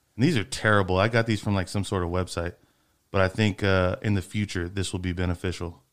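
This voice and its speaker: A man with a Texan accent talks at a very fast pace in a very deep, low monotone with flat intonation, on a very clean recording with a silent background. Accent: Texan American. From Freeport, Texas. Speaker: podcast host. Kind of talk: casual chat. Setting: studio.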